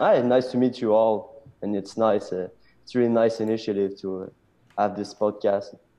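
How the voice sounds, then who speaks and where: A man with a French accent speaks at a moderate pace and medium pitch. His tone is dark and mellow, his intonation monotone and flat. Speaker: blockchain startup technical officer. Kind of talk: interview.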